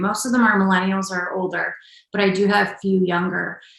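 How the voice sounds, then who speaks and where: Her voice has vocal fry, and this woman speaks at a medium pitch with fairly even intonation. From Upstate New York. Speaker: executive coach and combat veteran. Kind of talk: podcast interview.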